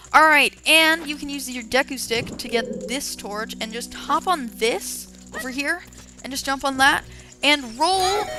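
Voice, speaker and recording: A woman's high-pitched voice at a very slow pace, lively in intonation, with music in the background. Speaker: let's play gamer. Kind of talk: gameplay commentary.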